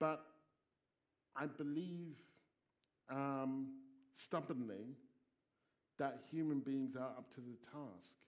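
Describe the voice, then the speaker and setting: Very slow and marked by long, frequent pauses, a man with a southern English accent speaks in a fairly high voice with ordinary pitch variation. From England, Stevenage (Hertfordshire). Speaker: sociology professor and broadcaster. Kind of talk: panel discussion Q&A.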